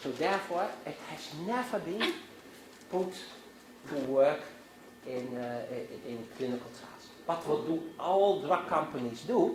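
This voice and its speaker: A man with a Dutch accent and a high pitch talks at a fairly slow pace, with long, frequent pauses, very wide pitch swings and big swings in loudness. Audible room echo and noticeable background noise are present. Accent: Dutch, Northern European. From Netherlands, Amsterdam. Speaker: physician and guest lecturer. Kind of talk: lecture. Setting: university classroom. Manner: halting, many fillers and restarts.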